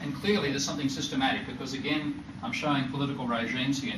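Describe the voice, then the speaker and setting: In an Australian accent, a man talks very fast at a medium pitch, with noticeable background noise and audible room echo. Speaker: economist. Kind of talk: lecture. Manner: halting, with frequent self-corrections.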